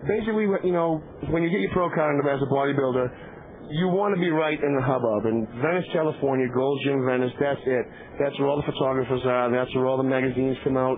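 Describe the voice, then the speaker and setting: A man with a Boston accent talks very fast at a fairly high pitch, his loudness very even and his pitch varying in an ordinary way, over noticeable background noise. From Boston, Massachusetts. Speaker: pro bodybuilder and commentator. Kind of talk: live event commentary.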